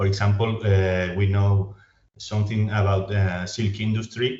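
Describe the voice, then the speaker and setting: With a non-native accent, a man speaks at a fairly low pitch in a somewhat breathy, monotone, flat voice. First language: Spanish. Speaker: historian. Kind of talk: academic Q&A. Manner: halting.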